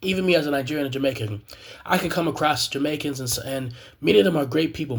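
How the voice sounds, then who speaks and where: With an American accent, a man talks at a very fast pace in a medium pitch with ordinary pitch variation. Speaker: graduate student, video blogger. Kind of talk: personal commentary monologue. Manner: halting, many fillers and repetitions.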